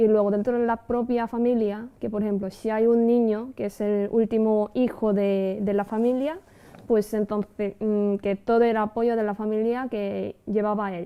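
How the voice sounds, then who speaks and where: A woman speaks at a fairly slow pace with a fairly high pitch. Her intonation stays monotone and flat. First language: Korean (speaking Spanish). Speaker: translator and Korean teacher. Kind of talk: interview. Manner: halting, with fillers.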